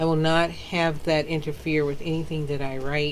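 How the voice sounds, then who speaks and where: A woman speaks with a very deep, low pitch at a moderate pace. Audible room echo surrounds her voice. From US South. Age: 50s. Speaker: author. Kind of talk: casual chat. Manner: animated.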